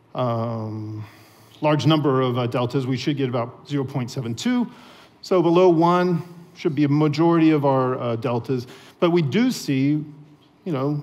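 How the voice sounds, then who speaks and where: A man with an American accent speaks at a moderate pace in a fairly high voice with ordinary pitch variation. Room echo can be heard. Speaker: software developer. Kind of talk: conference talk. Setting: stage with audience. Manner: frequent fillers.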